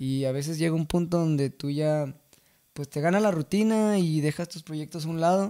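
A man speaks at a moderate pace with a fairly high pitch and ordinary pitch variation. His tone is dark and mellow, and the background is quiet. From Mexico, San Gabriel, Jalisco; Jalisco, Mexico. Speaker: singer-songwriter of corridos; podcast guest. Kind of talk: casual interview chat. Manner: hesitant, many fillers. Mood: relaxed, reminiscing. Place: studio. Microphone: studio mic.

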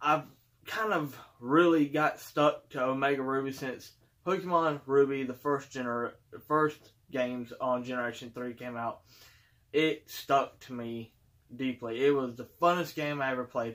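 A man at a moderate pace, with fairly even intonation against a quiet background. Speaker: collector channel host. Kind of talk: casual vlog chat. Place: home room. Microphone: phone near.

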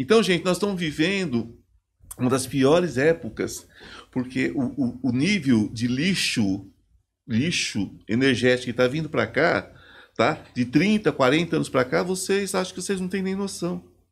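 Talking at a fairly slow pace, a man's fairly high voice swings very widely in pitch. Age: 50s. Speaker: psychoanalyst and spiritual therapist; podcast guest. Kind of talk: casual chat. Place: studio. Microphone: studio mic.

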